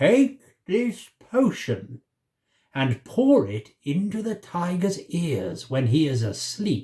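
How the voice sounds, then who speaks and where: A man's put-on character voice, high-pitched, very slow, with very wide pitch swings. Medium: read story.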